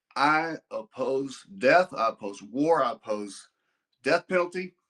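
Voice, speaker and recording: A man's fairly high voice at a fairly slow pace, dry and close with no echo. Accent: Texas. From Texas (Amarillo). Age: 60s. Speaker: donor and businessman. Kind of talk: casual chat. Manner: halting, repeating words; blunt, abrupt.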